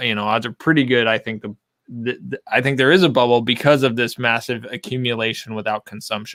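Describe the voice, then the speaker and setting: Loud and bright with a sharp tone, a man's medium-pitched voice sounds dry and close with no echo. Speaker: whiskey collector. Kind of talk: casual chat.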